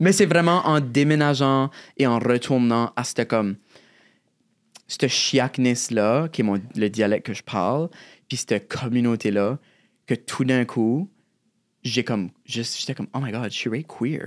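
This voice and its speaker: With a New Brunswick Acadian accent, a man speaks at a fairly slow pace and medium pitch with ordinary pitch variation and long, frequent pauses. The recording is very clean with a silent background, and the sound is dry and close with no echo. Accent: Acadian French, chiac. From southeast New Brunswick, Acadian (Shediac). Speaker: drag artist and poet. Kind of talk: casual interview.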